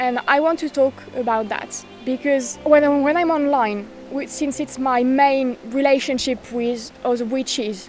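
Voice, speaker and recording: A woman with a French accent, high pitch, fairly even intonation and a fairly slow pace, over background music. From France. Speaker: witchcraft content creator. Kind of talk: casual talk to camera.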